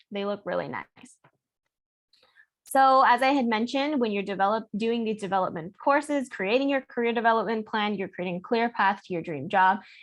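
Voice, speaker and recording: The background is quiet as a woman speaks at a fairly quick pace. Her fairly high voice shows ordinary pitch variation. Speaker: student honor society officer. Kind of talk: presentation. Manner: fast.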